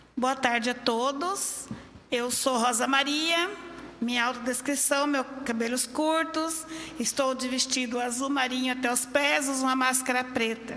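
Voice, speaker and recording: A woman speaks in a raised, projected voice at a high pitch, fairly slowly and with fairly even intonation. Noticeable background noise and audible room echo fill the recording. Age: 60s. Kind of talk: public hearing statement.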